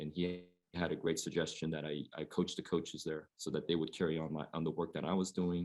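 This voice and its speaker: In a West Coast US accent, a man speaks at a moderate pace. His pitch is very deep and low. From Oregon, US Pacific Northwest. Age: 40s. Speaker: high school basketball coach. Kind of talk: panel discussion.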